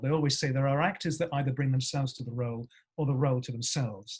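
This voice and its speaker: Somewhat breathy, this man talks very fast in a fairly high pitch. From Surrey, southern England. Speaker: actor. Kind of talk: podcast interview. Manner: halting, many fillers.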